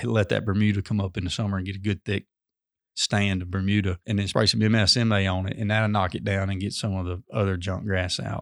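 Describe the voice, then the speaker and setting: A man's fairly low voice with a Mississippi accent, fairly even intonation and a moderate pace, dry and close with no echo, on a very clean recording with a silent background. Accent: Southern US (Mississippi). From US South, northeast Mississippi. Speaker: high school sports coach. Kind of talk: casual interview.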